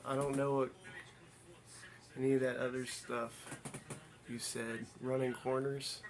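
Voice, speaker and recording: The speaker has an American accent and talks at a fairly slow pace in a monotone, flat intonation, with long, frequent pauses and noticeable background noise. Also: man, medium pitch for a man. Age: 40s. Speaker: streamer. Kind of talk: casual chat. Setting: livestream.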